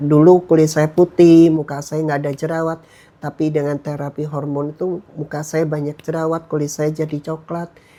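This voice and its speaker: A man with a dark, mellow tone and a fairly high pitch talks in a flat monotone, hardly pausing at all. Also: moderate pace. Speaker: minister giving testimony. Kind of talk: testimony.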